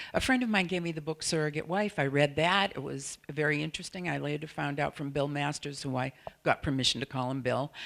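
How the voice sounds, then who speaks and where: Barely pausing, a woman with a Boston accent and a very deep, low pitch talks at a very fast pace with ordinary pitch variation. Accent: Boston-area accent, noticeable. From New England, Salem, Massachusetts. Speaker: sex therapist and surrogate partner. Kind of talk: conference presentation.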